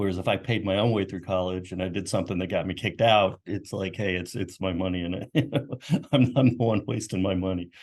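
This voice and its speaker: Speaking at a fairly quick pace, a man with an American accent has a very deep, low pitch. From US South, Knoxville, Tennessee. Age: 60s. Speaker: marketing executive, army veteran. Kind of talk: interview. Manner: casual, hesitant with fillers.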